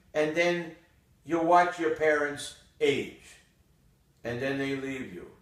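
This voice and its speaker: Audible room echo surrounds a man speaking at a very slow pace with a fairly high pitch. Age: 80s+. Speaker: retired urologist. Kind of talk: casual monologue. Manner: reflective.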